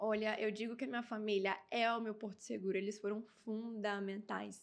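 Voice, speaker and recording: Her intonation is monotone and flat. The woman speaks at a moderate pace with a fairly high pitch. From Brazil, Amazonas. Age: 20s. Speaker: beauty pageant winner. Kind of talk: interview.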